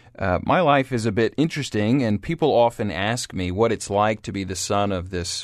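A man with an American accent speaks in an unremarkable speaking voice at a fairly low pitch and a moderate pace. He uses ordinary pitch variation and hardly any pauses against a quiet background. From US South, Atlanta, Georgia. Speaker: podcast host, church ministry leader. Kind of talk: solo podcast monologue. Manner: many fillers, uh and um.

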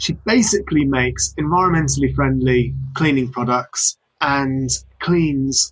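A man with a British accent talks at a fairly slow pace. His pitch is medium, with ordinary variation. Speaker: podcast host. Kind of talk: podcast interview.

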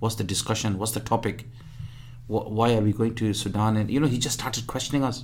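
Talking very fast, the man holds a medium pitch. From rural northern Punjab, Pakistan. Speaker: humanitarian charity worker. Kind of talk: radio interview. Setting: radio studio. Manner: energetic; halting.

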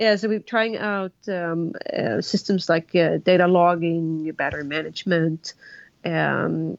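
A woman with a Swedish accent is heard in a dry, close sound with no echo. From Sweden. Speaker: engineer and motorcycle land speed racer. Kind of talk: interview.

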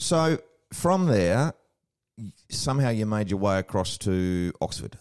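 A man's fairly low voice with very wide pitch swings, very even loudness and an Australian accent. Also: fairly slow pace. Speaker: podcast co-host. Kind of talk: casual podcast chat. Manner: jovial, joking.

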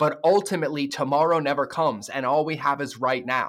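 Fairly high-pitched with a fairly bright tone, a man speaks at a fairly quick pace with ordinary pitch variation.

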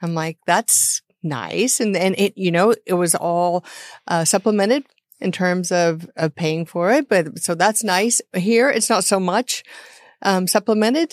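At a fairly slow pace, a woman with a normal speaking voice talks at medium pitch with ordinary pitch variation, the sound dry and close with no echo on a very clean recording with a silent background. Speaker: podcast co-host. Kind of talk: interview conversation.

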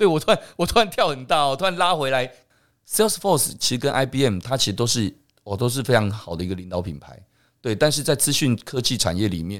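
A man's voice with vocal fry and very wide pitch swings, fairly quick, on a very clean recording with a silent background. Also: medium pitch for a man. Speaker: podcast host. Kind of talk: interview conversation.

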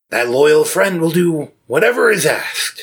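Putting on a character voice, a man speaks high in pitch with lively intonation. His pace is moderate. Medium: actual play. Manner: earnest, fatherly.

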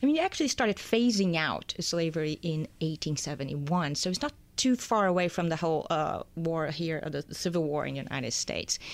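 Barely pausing, a woman with an unremarkable speaking voice talks at a fairly low pitch with ordinary pitch variation in a very clean recording with a silent background. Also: fairly quick pace. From born in Brazil, raised in US. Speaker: economics news editor. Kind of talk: studio interview. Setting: studio.

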